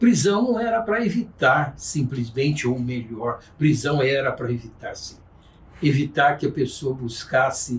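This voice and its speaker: Somewhat breathy, a man speaks at a fairly slow pace and a fairly high pitch, with very wide pitch swings. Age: 60s. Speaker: judge. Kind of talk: podcast interview, formal explanation. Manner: formal.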